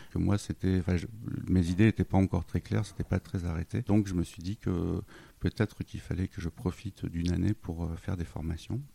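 Dry and close with no echo, a man's very deep, low, dark and mellow voice moves at a fairly quick pace with fairly even intonation. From northern France, Lille. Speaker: web designer, freelance entrepreneur. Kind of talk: interview. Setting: at home in his apartment. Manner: halting, many hesitations.

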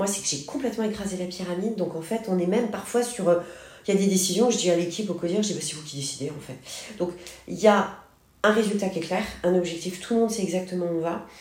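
Over noticeable background noise and audible room echo, a woman speaks at a very fast pace with an energetic tone, medium pitch, ordinary pitch variation and big swings in loudness. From Paris, France. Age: 40s. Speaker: company founder. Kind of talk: interview.

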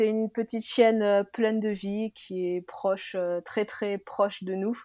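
In a flat monotone, a woman talks at a very slow pace with a medium pitch. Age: 20s. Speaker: nurse. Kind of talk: casual chat.

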